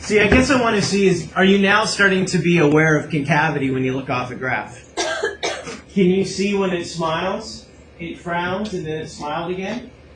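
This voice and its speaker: There is noticeable noise in the background. Over it, a man with a high voice talks at a moderate pace, his intonation lively. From Canada. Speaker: math teacher. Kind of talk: classroom lecture. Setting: classroom. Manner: animated. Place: classroom.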